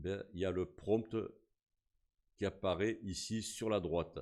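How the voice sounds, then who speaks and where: A man talks in a fairly low voice at a fairly slow pace. The recording is very clean, with a silent background. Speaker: YouTube tutorial creator. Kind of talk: tutorial. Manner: casual, hesitant with fillers.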